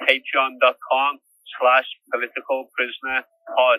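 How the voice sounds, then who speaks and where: Speaking at a moderate pace, a man with a Liverpool accent uses a medium pitch. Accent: Scouse. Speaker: prisoner podcaster. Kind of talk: podcast outro appeal. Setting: prison cell by phone.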